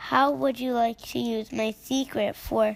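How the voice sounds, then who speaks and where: A woman puts on a character voice. Her pitch is fairly high. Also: moderate pace. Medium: read story. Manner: firm but kind.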